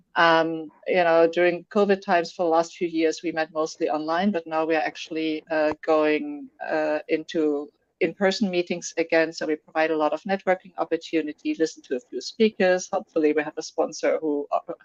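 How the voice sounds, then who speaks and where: A woman with a German accent speaks at a fairly quick pace, hardly pausing at all. Her pitch is fairly low and her intonation fairly even, with a dry, close sound and no echo. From Germany. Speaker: software developer, tech community organizer. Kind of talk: interview. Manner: hesitant, many fillers.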